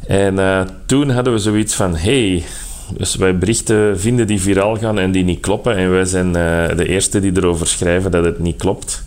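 A man's very deep, low voice at a moderate pace, with fairly even intonation and very even loudness, plus audible room echo and noticeable background noise. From Flanders. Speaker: fact-checker. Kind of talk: phone interview.

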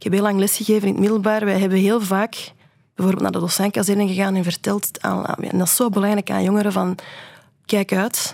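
Her pace is fairly quick. The woman's intonation stays flat and monotone. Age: 40s. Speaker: illustrator and historian. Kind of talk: radio interview. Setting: radio studio. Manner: halting, many repetitions.

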